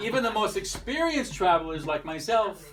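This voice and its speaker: Over noticeable background noise and audible room echo, a man with an American accent swings his pitch very widely. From United States. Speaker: wedding speech giver. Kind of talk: wedding toast. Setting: wedding reception with audience. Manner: halting, reading from notes.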